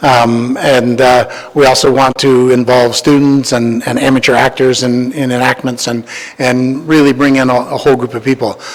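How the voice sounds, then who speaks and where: With a Canadian accent and a medium pitch, a man speaks in a flat monotone with hardly any pauses over noticeable background noise. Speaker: historical society volunteer presenting a project. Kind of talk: presentation to county council. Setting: council meeting chamber. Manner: fast; halting, many repeated words and fillers.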